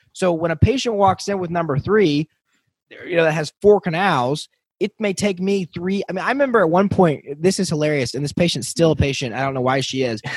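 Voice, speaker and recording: With an enthusiastic tone, a man speaks at a fairly quick pace and a high pitch in a dry, close recording with no echo. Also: lively intonation. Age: young. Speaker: dentist and podcast host. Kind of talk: interview.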